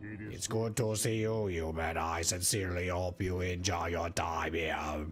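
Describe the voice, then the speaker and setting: A man's raspy put-on character voice, very deep and low, at a moderate pace with hardly any pauses, over clear background noise. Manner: slow monotone; delighted, welcoming.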